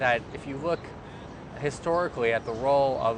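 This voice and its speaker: Fairly even intonation in an American accent comes through noticeable background noise. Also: man. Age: 30s. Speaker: activist and nonprofit leadership trainer. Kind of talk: interview. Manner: hesitant, many fillers.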